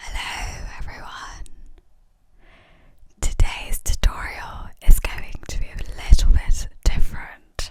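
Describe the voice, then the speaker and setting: A woman whispering at a very slow pace, with long, frequent pauses and big swings in loudness. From Sri Lankan. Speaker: ASMR makeup creator. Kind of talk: ASMR makeup tutorial.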